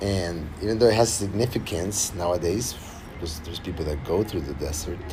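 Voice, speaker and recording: A speaker with a Spanish accent talks at a fairly quick pace with ordinary pitch variation, audible room echo and noticeable background noise. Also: man, very deep, low pitch for a man. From Argentina. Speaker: singer-songwriter. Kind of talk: livestream casual chat. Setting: livestream. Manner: halting.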